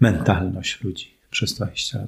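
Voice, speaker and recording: A man speaks with noticeable vocal fry. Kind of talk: casual interview.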